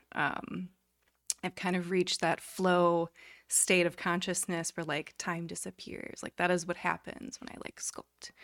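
A woman with a plain, everyday voice speaks at a fairly slow pace and fairly low pitch, with fairly even intonation but big swings in loudness. The recording is very clean with a silent background, and the sound is dry and close, with no echo.

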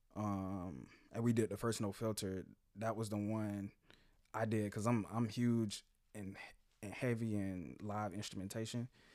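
A man's fairly low voice, fairly slow and fairly even in intonation, broken by long, frequent pauses, on a very clean recording with a silent background. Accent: American. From Jacksonville, Florida. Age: 30s. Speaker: musician. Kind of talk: casual chat.

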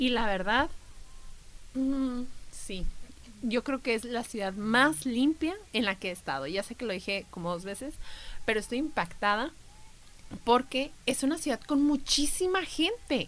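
Speaking at a fairly slow pace with long, frequent pauses, a woman uses a high pitch and lively intonation. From Mexico. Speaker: travel podcast co-host. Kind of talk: casual chat.

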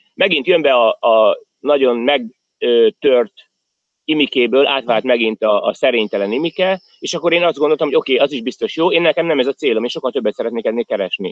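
Here a man talks at a very fast pace. His pitch is fairly high and his intonation lively. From Hungary. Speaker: emigrant business manager and fitness trainer. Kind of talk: interview.

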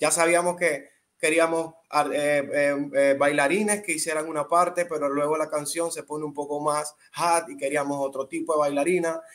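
Here a man speaks with a Colón Panamanian accent. His pitch is fairly high. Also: fairly even intonation, moderate pace. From Panama, Colón. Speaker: urban music artist. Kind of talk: interview.

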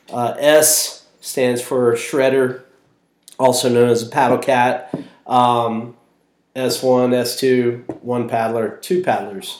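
Someone with an American accent speaks at a very slow pace with fairly even intonation. Audible room echo surrounds the voice. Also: man, medium pitch for a man. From Florida. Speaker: podcast co-host, experienced whitewater paddler. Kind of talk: casual chat.

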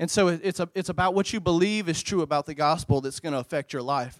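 Speaking at a fairly quick pace, a man with a Louisiana accent uses a high pitch and ordinary pitch variation. The recording is very clean and dry, close with no echo, over a silent background. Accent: Southern US (Louisiana). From US South, central Louisiana. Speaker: youth pastor. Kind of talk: sermon. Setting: church. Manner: animated.

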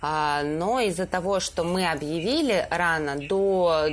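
This woman's voice sits at a fairly low pitch with ordinary pitch variation. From Stavropol region, southern Russia. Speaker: photo editor at a news agency. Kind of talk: casual chat.

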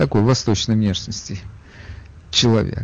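A man speaks here. His voice is somewhat breathy. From Ukraine, Odesa. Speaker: radio talk show host. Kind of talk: call-in radio talk show.

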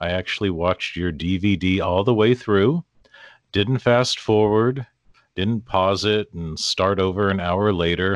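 In a General American accent, a man with an unremarkable speaking voice talks at a fairly slow pace, his fairly low pitch showing ordinary pitch variation. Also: dry, close sound with no echo. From US Pacific Northwest. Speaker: podcast host. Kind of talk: interview.

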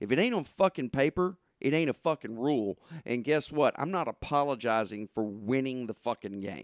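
With a Southern US accent, a man of medium pitch talks at a moderate pace with lively intonation, recorded very cleanly in a dry, close sound with no echo and a silent background. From southern Arkansas. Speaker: sports podcast host. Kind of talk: casual chat.

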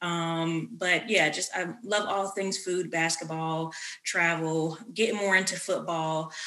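A woman with a fairly low pitch and a bright, sharp tone speaks very slowly with fairly even intonation, with audible room echo around her. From US South, North Carolina. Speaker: podcast host, addiction counselor. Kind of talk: casual chat.

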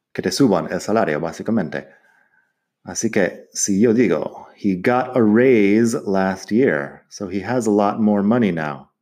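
A dark, mellow tone in an English accent comes at a very slow pace, with ordinary pitch variation. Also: man, fairly low pitch for a man. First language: English (speaking Spanish). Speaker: English teacher podcaster. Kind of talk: language lesson.

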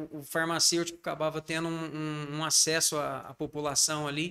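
On a very clean recording with a silent background, a man speaks at a moderate pace in a bright, sharp tone with a fairly high pitch. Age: 40s. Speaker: pharmacist, pharmacy owner. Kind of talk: interview.

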